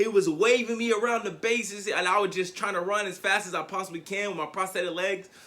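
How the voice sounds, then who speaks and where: Raising and projecting his high-pitched voice, a man talks at a very fast pace with hardly any pauses, in an animated tone that is bright and sharp. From Tennessee. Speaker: motivational speaker. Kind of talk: motivational speech.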